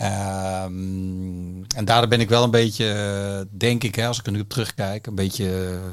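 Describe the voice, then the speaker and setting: At a very slow pace, a man with a fairly low pitch talks with fairly even intonation on a very clean recording with a silent background. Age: 50s. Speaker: music industry executive. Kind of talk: interview. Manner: halting.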